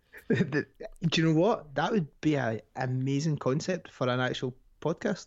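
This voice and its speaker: In a Scottish accent, a man talks at a moderate pace in a fairly high voice. His loudness stays very even and his pitch varies in an ordinary way. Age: 20s. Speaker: podcast guest. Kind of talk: casual chat.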